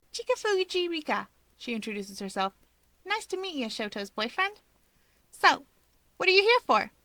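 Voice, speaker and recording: In a put-on character voice, a woman speaks at an extremely high pitch with very wide pitch swings, a moderate pace and long, frequent pauses, the sound dry and close with no echo. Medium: read story. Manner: teasing, breezy.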